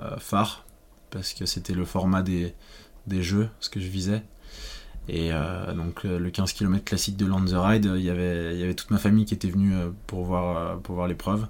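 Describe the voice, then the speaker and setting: A man's very deep, low voice in a flat monotone at a moderate pace, with long, frequent pauses, on a very clean recording with a silent background. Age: 20s. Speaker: former cross-country skier. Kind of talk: interview. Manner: hesitant.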